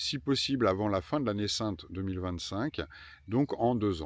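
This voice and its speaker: Spoken at a fairly slow pace with ordinary pitch variation, this is a very clean recording against a silent background. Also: man. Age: 50s. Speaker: pilgrim travel vlogger. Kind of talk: travel vlog narration. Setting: outdoors. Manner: hesitant fillers.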